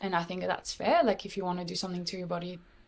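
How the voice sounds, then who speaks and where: The recording is very clean, with a silent background. In it, a woman talks with a French accent. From France. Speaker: podcast guest sharing health story. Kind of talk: casual interview chat.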